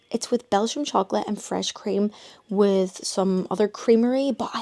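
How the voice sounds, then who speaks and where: The speech comes at a moderate pace with a Northern Irish accent. The sound is dry and close, without echo. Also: woman. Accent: Northern Irish (Belfast). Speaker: vlogger. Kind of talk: casual vlog chat. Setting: bedroom at family home.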